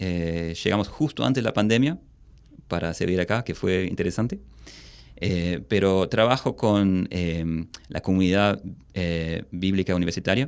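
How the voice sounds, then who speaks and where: With an Australian accent, a man talks at a fairly slow pace in a very deep, low voice with ordinary pitch variation. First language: English (speaking Spanish). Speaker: missionary and seminary teacher. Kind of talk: podcast interview. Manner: hesitant, many fillers.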